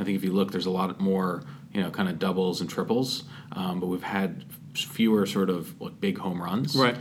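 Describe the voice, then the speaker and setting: A man with a very deep, low pitch and ordinary pitch variation speaks at a moderate pace amid noticeable background noise and audible room echo. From Massachusetts (Andover). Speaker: tech startup founder and CEO. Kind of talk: casual interview.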